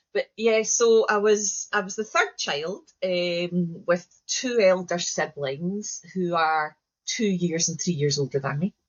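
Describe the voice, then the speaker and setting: In a Scottish accent, a woman speaks very slowly at a medium pitch with ordinary pitch variation. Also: hardly any pauses. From Scotland, Glasgow. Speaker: educator and trainer. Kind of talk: interview conversation.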